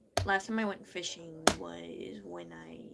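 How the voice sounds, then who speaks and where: A woman speaks over noticeable background noise. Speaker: live streamer. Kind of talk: casual chat. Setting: live stream. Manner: slow, deliberate enunciation.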